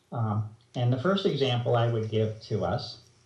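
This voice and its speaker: A man talks at a fairly slow pace in a somewhat breathy voice. Audible room echo surrounds him. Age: 60s. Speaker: researcher interviewed on environmental topic. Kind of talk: interview explanation. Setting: video call. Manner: hesitant, many fillers.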